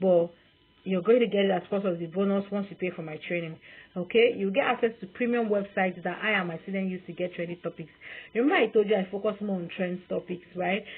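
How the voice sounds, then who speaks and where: A woman with a Nigerian accent talks at a very fast pace, her intonation fairly even. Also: medium pitch for a woman. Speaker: online sales coach. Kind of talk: sales pitch.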